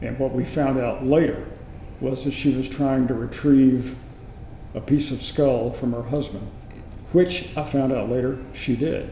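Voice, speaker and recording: Noticeable background noise sits behind a man with an American accent who speaks at a medium pitch with fairly even intonation. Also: fairly slow pace. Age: 70s. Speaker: former radio reporter, eyewitness. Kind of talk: interview answer.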